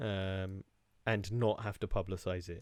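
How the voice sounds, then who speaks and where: In a very clean recording with a silent background, a man with a British accent is heard in dry, close sound with no echo. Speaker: comedy podcast host. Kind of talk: casual chat. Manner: loud, boisterous; halting, stammering.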